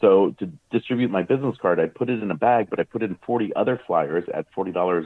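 In an American accent, a man with a plain, everyday voice talks at a fairly quick pace and a fairly low pitch. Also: ordinary pitch variation. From Maryland, US. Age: 50s. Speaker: magician. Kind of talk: interview.

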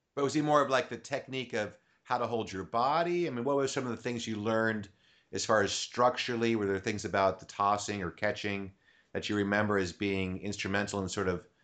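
Over a quiet background, a man talks at a fairly quick pace in a fairly low pitch. He has a normal speaking voice with ordinary pitch variation. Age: 50s. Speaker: podcast host and comedy juggler. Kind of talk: casual interview chat. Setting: home recording studio.

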